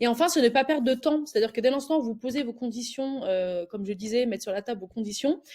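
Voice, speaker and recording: Her pitch is high and her tone dark and mellow, with ordinary pitch variation. The woman talks at a very fast pace with hardly any pauses. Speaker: recruiter. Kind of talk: tutorial. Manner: hesitant, many filler words.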